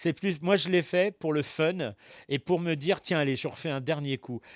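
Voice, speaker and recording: The sound is dry and close with no echo as a man speaks at a fairly high pitch and a fairly slow pace. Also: very clean recording, silent background. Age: 60s. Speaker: voice actor. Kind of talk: interview. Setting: studio. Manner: halting.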